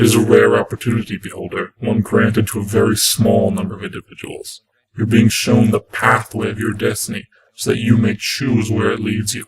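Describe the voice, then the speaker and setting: A man's put-on character voice at a medium pitch and fairly quick pace, with clear echo. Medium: read story.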